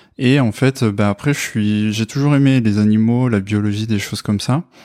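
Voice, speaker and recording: On a very clean recording with a silent background and a dry, close sound with no echo, a man with a fairly low pitch and a dark, mellow tone speaks at a moderate pace with fairly even intonation. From France, Corrèze (Brive-la-Gaillarde). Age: 20s. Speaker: software developer, former biology student. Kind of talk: testimony interview. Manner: hesitant, many fillers.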